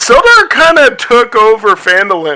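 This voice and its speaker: His delivery holds to a middling tempo. The male speaker adopts an exaggerated character voice pitched extremely high. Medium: actual play. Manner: casual, plain-spoken.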